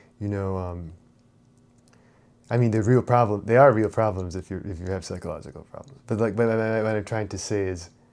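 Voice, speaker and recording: A man speaks at a fairly quick pace in a fairly low pitch, with fairly even intonation. His loudness swings widely. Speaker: spirituality and self-help channel host. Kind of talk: unscripted monologue. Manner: fast; halting, many fillers and repetitions.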